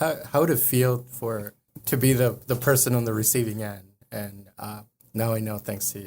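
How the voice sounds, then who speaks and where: At a moderate pace, a man with a medium pitch keeps his intonation fairly even while his loudness swings widely. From northern Mexico and El Paso, Texas. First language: Spanish. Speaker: lawyer. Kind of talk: casual interview. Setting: studio. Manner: hesitant, many fillers.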